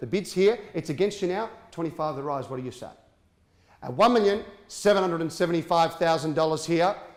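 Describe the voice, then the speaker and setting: With an energetic tone, a high-pitched man speaks at a fairly quick pace, his pitch varying an ordinary amount and his loudness swinging widely. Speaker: auctioneer, auction competition entrant. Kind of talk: property auction call. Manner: fast, energetic, persuasive.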